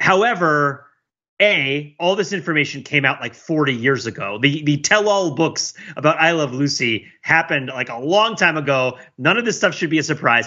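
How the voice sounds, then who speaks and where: At a moderate pace, a man with an ordinary speaking voice talks at a fairly high pitch with lively intonation. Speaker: podcast panelist. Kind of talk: casual chat.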